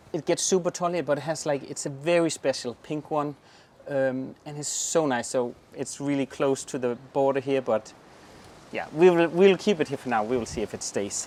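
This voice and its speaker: This man speaks with a southern Jutland accent. His pace is moderate and his pitch varies in an ordinary way. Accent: Danish, southern Jutland dialect. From southern Jutland, Denmark. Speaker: gardener, garden channel host. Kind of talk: garden tour, casual chat. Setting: outdoors in garden.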